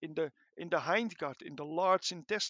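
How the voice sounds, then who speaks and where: A man speaks with a Dutch accent. His pace is fairly slow. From Netherlands. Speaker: animal science researcher. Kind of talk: interview. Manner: halting, many fillers.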